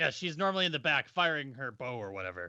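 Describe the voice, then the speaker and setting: Using a put-on character voice, a man speaks at a very fast pace and a fairly high pitch. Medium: actual play. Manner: blunt, dismissive.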